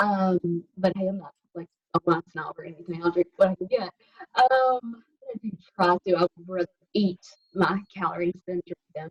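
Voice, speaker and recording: In a Southern US accent, a somewhat breathy woman speaks at a moderate pace with long, frequent pauses, and the sound is dry and close with no echo. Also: medium pitch for a woman, fairly even intonation, big swings in loudness. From US South, Alabama. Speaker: health coach. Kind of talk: casual chat.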